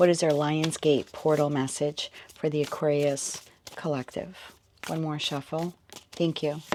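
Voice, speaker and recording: At a fairly slow pace, this speaker comes across as soft-spoken. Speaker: tarot reader. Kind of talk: tarot reading.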